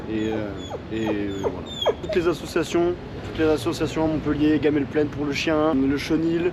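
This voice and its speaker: A man's fairly high voice carries ordinary pitch variation. He keeps a moderate pace while noticeable background noise plays behind. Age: 20s. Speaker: homeless man. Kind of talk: street interview. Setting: outdoors, street. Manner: halting, many fillers.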